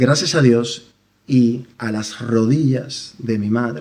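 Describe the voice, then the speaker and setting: The pace is very slow. The man's voice sits at a medium pitch. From Dominican Republic. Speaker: church member giving testimony. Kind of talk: testimony. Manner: halting.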